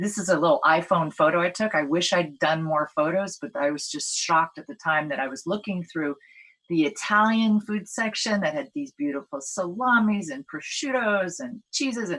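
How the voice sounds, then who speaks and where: A woman at a medium pitch, with very wide pitch swings, a moderate pace and hardly any pauses. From Hawaii. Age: 60s. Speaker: attorney and food policy speaker. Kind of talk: conference talk. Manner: halting, many fillers.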